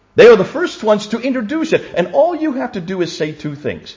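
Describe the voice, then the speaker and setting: A man at a fairly quick pace, with very wide pitch swings. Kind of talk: lecture. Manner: fast.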